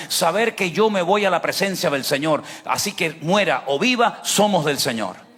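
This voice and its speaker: A man's high-pitched voice, carrying ordinary pitch variation, moves at a moderate pace amid noticeable background noise. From Venezuela. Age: 60s. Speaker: pastor. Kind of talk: sermon. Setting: church service, livestreamed. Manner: emphatic, rhetorical questions.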